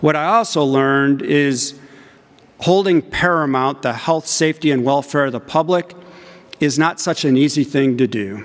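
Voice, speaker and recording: A man with an ordinary speaking voice, fairly high in pitch, with ordinary pitch variation and a moderate pace. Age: 60s. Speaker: engineering professor. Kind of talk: conference talk. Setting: stage with audience.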